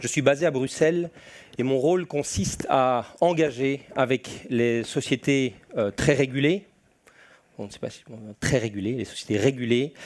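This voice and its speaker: In a Belgian accent, a man speaks at a fairly slow pace with medium pitch and ordinary pitch variation. His loudness swings widely, and he makes long, frequent pauses. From Belgium. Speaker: security and compliance specialist. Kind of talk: conference presentation.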